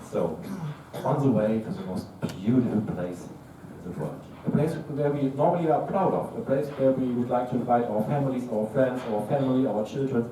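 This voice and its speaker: In a German accent, a man talks at a fairly quick pace with lively intonation, amid audible room echo and noticeable background noise. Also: medium pitch for a man. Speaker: tech startup co-founder, conference speaker. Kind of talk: tech talk. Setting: stage with audience.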